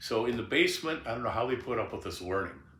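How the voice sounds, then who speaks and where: Fairly quick speech from a man at medium pitch, bright and sharp in tone, with audible room echo. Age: 70s. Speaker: blues guitarist and singer. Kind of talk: memoir interview, casual reminiscing. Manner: halting.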